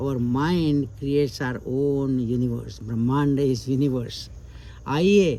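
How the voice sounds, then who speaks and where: Somewhat breathy, a man speaks at a fairly slow pace with a dark, mellow tone. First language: Indian language other than Hindi. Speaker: channel host, storyteller. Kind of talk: casual chat; reading aloud. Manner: halting.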